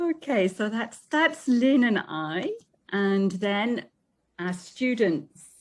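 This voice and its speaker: Very wide pitch swings run through a woman's fairly high voice with a British accent. She talks at a very slow pace. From UK. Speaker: English teacher. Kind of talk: presentation.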